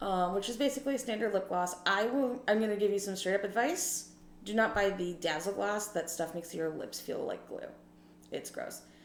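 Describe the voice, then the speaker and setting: Fairly quick speech from a woman amid noticeable background noise and audible room echo. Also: medium pitch for a woman, ordinary pitch variation. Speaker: beauty vlogger with low vision. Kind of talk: casual makeup tutorial. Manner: casual, chatty.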